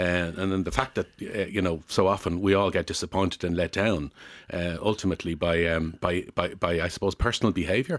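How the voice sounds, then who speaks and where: With an Irish accent, a man speaks at a fairly quick pace in a very deep, low pitch with ordinary variation, on a very clean recording with a silent background. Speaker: former retail executive. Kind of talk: radio interview. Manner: hesitant, many fillers.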